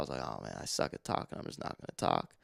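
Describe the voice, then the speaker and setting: A man speaks at a fairly quick pace with vocal fry. The recording is very clean, the background silent. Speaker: podcast co-host. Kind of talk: casual chat.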